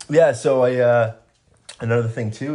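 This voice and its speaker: A man's somewhat breathy voice with a dark, mellow tone at a moderate pace. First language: Spanish. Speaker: podcast guest. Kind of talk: casual chat. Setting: home recording. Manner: hesitant, many fillers.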